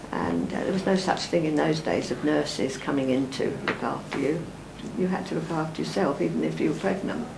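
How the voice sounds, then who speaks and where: A woman talks at a fairly quick pace with noticeable background noise and audible room echo. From East London. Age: 80s+. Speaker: elderly interviewee recalling history. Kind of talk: interview reminiscence.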